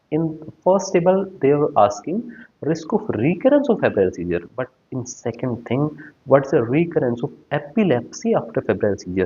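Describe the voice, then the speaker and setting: A man with an Indian accent speaks at a fairly high pitch with vocal fry and very wide pitch swings. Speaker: pediatrician and exam-prep teacher. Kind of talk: lecture. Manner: fast; hesitant, frequent uh fillers.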